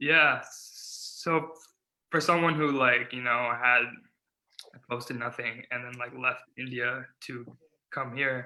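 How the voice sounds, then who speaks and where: At a very slow pace with long, frequent pauses, a man with an American accent speaks at a medium pitch, his tone bright and sharp and his intonation fairly even. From California (Silicon Valley). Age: 20s. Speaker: stuttering advocate, nonprofit founder. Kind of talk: interview.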